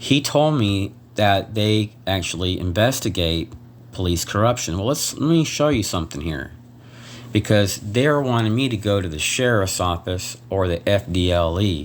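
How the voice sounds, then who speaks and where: Soft-spoken and fairly low in pitch, a man talks at a moderate pace with lively intonation. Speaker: vlogger. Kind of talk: personal video complaint. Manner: halting.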